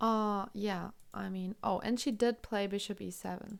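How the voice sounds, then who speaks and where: Speaking with a German accent, a woman at medium pitch keeps a fairly even intonation on a very clean recording with a silent background. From Germany. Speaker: chess streamer and commentator. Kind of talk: live commentary. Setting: live stream.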